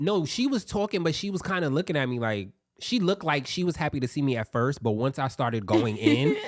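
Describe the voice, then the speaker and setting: Very fast and with very wide pitch swings, a man with a fairly high voice speaks. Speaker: podcast co-host. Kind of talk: casual chat. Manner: loud; animated.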